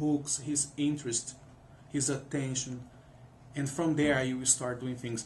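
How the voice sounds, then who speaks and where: A man's somewhat breathy, fairly high voice with a non-native accent and audible room echo. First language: not English. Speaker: music professor. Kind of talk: interview. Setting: studio. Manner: halting, many repetitions.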